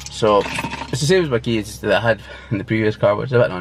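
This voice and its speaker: In a Scottish accent, a man speaks at a very fast pace and medium pitch with lively intonation over noticeable background noise. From Scotland. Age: 20s. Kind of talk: casual talk to camera. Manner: casual, hesitant.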